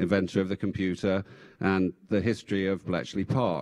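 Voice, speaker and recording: His speech comes with an English accent. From England. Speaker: former tech executive and government official. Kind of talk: panel discussion. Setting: stage with audience.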